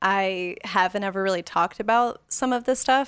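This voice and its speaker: This woman has a plain, everyday voice and speaks at a fairly slow pace with ordinary pitch variation. The recording is very clean, with a silent background. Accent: American. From Las Vegas, Nevada. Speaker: photographer. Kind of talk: casual interview.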